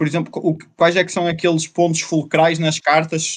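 Fairly high male voice over a quiet background. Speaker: podcast host. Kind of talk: casual chat. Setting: livestreamed podcast.

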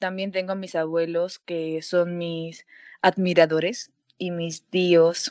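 A woman speaks at a very slow pace. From Peru. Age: 19. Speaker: university student, singer. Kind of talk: interview. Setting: call from home.

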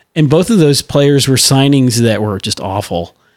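This man has an ordinary speaking voice at a medium pitch. He talks at a moderate pace with ordinary pitch variation. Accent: American. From St. Louis, US Midwest. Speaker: podcast co-host. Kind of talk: casual chat.

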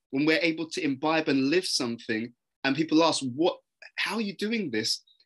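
A man talks with a London accent at a fairly high pitch. His tone is bright and sharp, with lively intonation. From London, England. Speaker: personal development speaker. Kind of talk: interview conversation.

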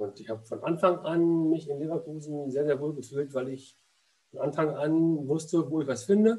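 With a fairly high pitch for a man, his voice has a dark, mellow tone. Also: ordinary pitch variation, moderate pace. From Berlin. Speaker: former goalkeeper and goalkeeping coach. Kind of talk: casual interview. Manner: halting, with frequent repetitions and fillers.

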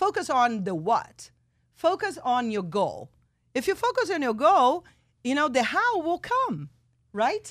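A woman with a Portuguese accent, high in pitch and animated, speaks at a fairly slow pace with very wide pitch swings and long, frequent pauses. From Brazil, São Paulo. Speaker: radio talk show host. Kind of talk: radio interview. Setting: radio studio.

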